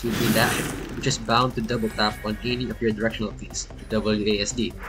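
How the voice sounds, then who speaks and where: Delivery is fairly quick, with music in the background. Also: man. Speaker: gaming video reviewer. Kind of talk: scripted review narration; casual editor's note. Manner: read from script.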